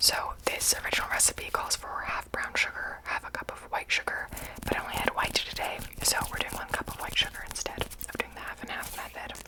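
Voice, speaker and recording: A woman whispers at a fairly quick pace. Background noise is noticeable. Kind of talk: ASMR baking video talk to camera. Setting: kitchen. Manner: whispered, soft-spoken.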